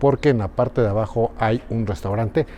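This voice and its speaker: A man at a fairly quick pace with lively intonation. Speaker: travel vlogger, reporter. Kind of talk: travel vlog narration. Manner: speaking quietly; animated.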